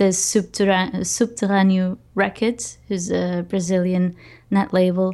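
A woman with a Portuguese accent speaks at a medium pitch and a fairly slow pace. Her tone is dark and mellow, her intonation monotone and flat. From Portugal. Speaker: podcaster and music curator. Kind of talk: interview.

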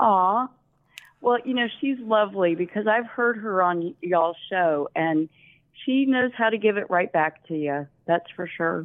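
A woman speaks with a Southern US accent. Her pitch is medium and her pace fairly slow. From Alabama, US South.

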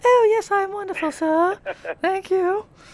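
A female-sounding voice puts on a squeaky character act at an extremely high pitch. It keeps a moderate pace. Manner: affected, polite.

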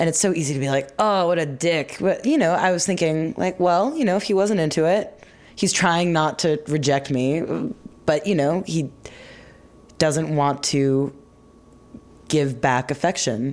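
Loudness stays very even throughout. Pitch variation is ordinary. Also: woman. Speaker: recent college graduate interviewer. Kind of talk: casual chat.

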